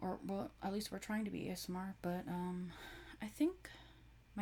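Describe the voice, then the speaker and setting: A woman talks at a moderate pace with a medium pitch. Her tone is dark and mellow, and somewhat breathy. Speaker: sleep video creator. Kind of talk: casual chat. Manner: regular speaking voice, not whispering.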